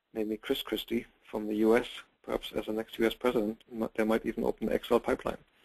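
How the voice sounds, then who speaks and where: A man with a German accent speaks at medium pitch and a fairly quick pace, his intonation flat and monotone. The sound is dry and close, with no echo. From Germany. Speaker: real estate investment company president. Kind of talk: webinar sales pitch. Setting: online webinar broadcast. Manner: halting, with repeated words.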